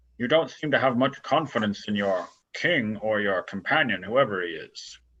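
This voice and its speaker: A man puts on a character voice. He speaks at a moderate pace and a medium pitch. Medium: actual play.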